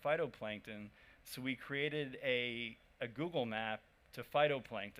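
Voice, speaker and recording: A man with an American accent and a medium-pitched voice. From United States. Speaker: startup founder. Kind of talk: conference talk.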